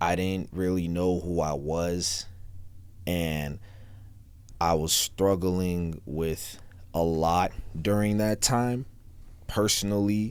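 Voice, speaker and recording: In an American accent, a man speaks at a very slow pace and a very deep, low pitch, with very even loudness and long, frequent pauses. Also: ordinary pitch variation. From US South. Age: 20s. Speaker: rapper. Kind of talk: interview.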